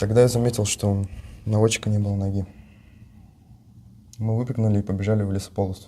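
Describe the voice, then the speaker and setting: A man with a fairly low pitch and a dark, mellow tone speaks at a very fast pace in a monotone, flat intonation, with long, frequent pauses. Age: young. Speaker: captured soldier, armored vehicle commander. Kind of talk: interview answer.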